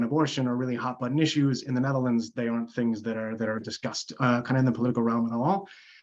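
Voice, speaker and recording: Medium-pitched male voice in an American accent, ordinary pitch variation, quiet background. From United States. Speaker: psychology lecturer. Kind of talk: academic Q&A. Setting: video call.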